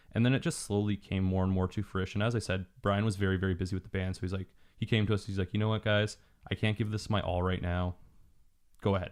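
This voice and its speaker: A fairly low-pitched male voice with a Canadian accent, very fast and monotone with flat intonation. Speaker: small business owner. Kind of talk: casual podcast interview.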